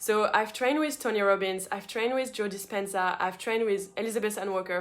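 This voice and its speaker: Her speech moves fairly quickly. The woman's voice sits fairly high and varies in pitch by an ordinary amount. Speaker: manifestation coach. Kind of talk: online masterclass. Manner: fast; animated.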